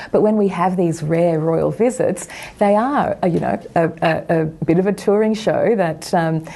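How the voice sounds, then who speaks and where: Noticeable background noise sits behind a woman with an Australian accent who speaks at a moderate pace with fairly low pitch, ordinary pitch variation and very even loudness. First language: not English. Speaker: republican campaign leader. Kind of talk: TV news interview.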